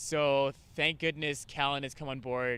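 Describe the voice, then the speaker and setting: A man talks with a Canadian accent in a bright, sharp tone at a fairly high pitch. His intonation stays monotone and flat. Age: 30s. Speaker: climbing route setter and coach. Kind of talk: casual interview chat.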